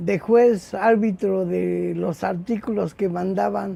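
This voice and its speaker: The voice belongs to a man. Its tone is dark and mellow. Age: 60s. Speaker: copy editor and bookseller. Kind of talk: interview. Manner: halting, with repetitions and fillers.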